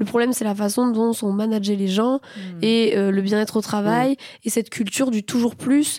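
Fairly high in pitch, a woman speaks with a dark, mellow tone and fairly even intonation. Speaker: podcast host.

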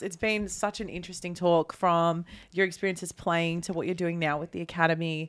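An unremarkable speaking voice moves at a fairly quick pace with hardly any pauses. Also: woman. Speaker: podcast host. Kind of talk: casual chat.

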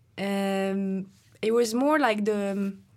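A woman with a French accent is captured in a very clean recording against a silent background. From France. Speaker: professional climber. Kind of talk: casual interview chat.

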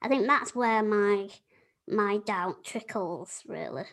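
Very slow in pace, a woman talks in a Yorkshire accent. Her pitch is fairly high. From Yorkshire, England. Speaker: podcast host.

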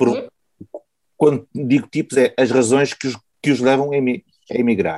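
A man's dark, mellow voice with a slight Porto accent, fairly slow and broken by long, frequent pauses. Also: medium pitch for a man, fairly even intonation. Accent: little Porto. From Porto, northern Portugal. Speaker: podcast host. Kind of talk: interview.

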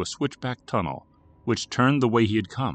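A man with an ordinary speaking voice and an American accent speaks at a medium pitch and moderate pace. The sound is dry and close with no echo, over a quiet background. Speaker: horror fiction narrator. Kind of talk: horror audiobook narration, scripted story read aloud with character voices for dialogue. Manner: measured, suspenseful, hushed and eerie storytelling.

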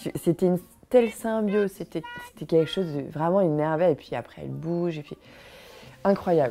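Over music in the background, a woman speaks at a fairly quick pace with long, frequent pauses, ordinary pitch variation and big swings in loudness. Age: 40s. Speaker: mother sharing personal story. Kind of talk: personal testimony. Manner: halting.

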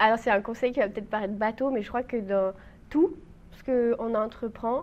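A woman's fairly high voice with fairly even intonation, an unremarkable speaking voice. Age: 20s. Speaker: trainee mountain guide, youtuber and writer. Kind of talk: casual interview.

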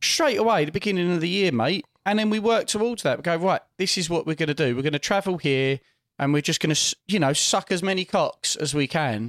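In a very clean recording with a silent background and a dry, close sound with no echo, a man with an English accent talks fairly quickly at a high pitch, with lively intonation and very even loudness. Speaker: podcast host. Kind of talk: casual chat. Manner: animated, loud laugh.

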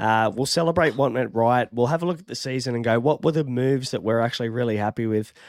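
A man with an Australian accent talks at a fairly quick pace, his medium pitch moving in a lively intonation. The recording is very clean, with a silent background. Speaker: fantasy sports podcast host. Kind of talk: casual chat. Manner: casual, chatty.

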